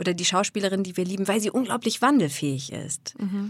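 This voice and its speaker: On a very clean recording with a silent background, a woman with an unremarkable speaking voice talks at a fairly quick pace. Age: 40s. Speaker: voice and speech coach. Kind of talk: interview.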